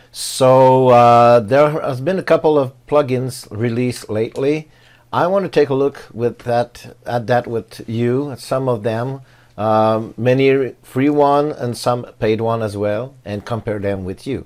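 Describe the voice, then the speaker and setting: Speaking fairly slowly with a non-native accent, a man with a medium-pitched voice is heard on a very clean recording against a silent background. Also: ordinary pitch variation. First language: not English. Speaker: tech YouTuber reviewing WordPress plugins. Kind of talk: tutorial. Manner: halting, many fillers.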